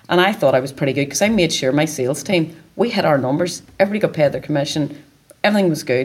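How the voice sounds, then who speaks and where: A woman's very deep, low voice with a Northern Irish accent, at a very fast pace and with ordinary pitch variation. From Northern Ireland, County Down. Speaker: sales and marketing director. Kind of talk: interview. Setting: event venue.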